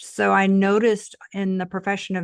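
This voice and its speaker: The background is quiet. A woman speaks with a slight Texas accent. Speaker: tantra coach, former nurse. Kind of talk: podcast interview.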